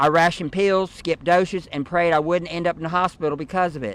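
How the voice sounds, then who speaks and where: With an American accent, a man speaks fairly quickly in a high, bright, sharp voice with fairly even intonation. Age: 70s. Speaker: patient advocate. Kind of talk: prepared statement at press conference. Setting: press conference.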